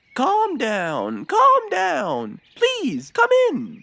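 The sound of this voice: This cartoonish character voice crawls along at a very slow pace, its pitch swinging very widely. The tone is bright and sharp, with vocal fry.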